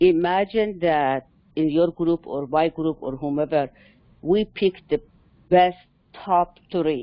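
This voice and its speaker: A woman with a non-native accent speaks at a very slow pace, leaving long, frequent pauses. Her voice is fairly low-pitched with ordinary pitch variation. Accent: foreign. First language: not English. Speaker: cybersecurity mentor. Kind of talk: casual panel discussion. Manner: halting.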